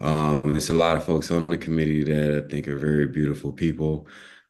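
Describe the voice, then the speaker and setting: Soft-spoken and very deep, with a low pitch, a man talks at a moderate pace. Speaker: award honoree and activist. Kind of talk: acceptance speech. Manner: halting.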